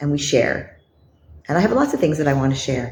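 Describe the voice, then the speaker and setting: Against noticeable background noise and audible room echo, a woman's pitch swings very widely. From Canada. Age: 60s. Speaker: lifestyle vlogger. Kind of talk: vlog monologue.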